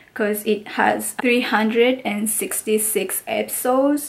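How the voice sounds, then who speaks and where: A woman with a non-native accent speaks at a very slow pace, her pitch fairly high with ordinary variation. Vocal fry runs through her voice. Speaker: international student. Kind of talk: casual talk to camera. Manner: hesitant, many filler sounds. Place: home room. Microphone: phone near.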